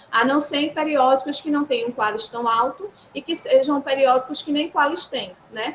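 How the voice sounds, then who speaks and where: Through noticeable background noise, a woman with a strong northeastern Brazilian accent speaks in a high voice. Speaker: university instructor. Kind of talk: workshop lecture. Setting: hybrid session with live audience. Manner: conversational.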